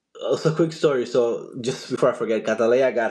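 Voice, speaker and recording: A man with a Dominican accent at a moderate pace. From Dominican Republic. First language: Spanish. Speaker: journalist and TV host. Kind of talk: podcast interview. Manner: halting, frequent repetitions.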